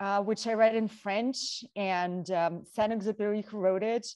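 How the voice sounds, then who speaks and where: In a Russian accent, a woman with a dark, mellow tone speaks at a fairly slow pace against a quiet background. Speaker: model and talk show co-host. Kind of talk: casual panel chat.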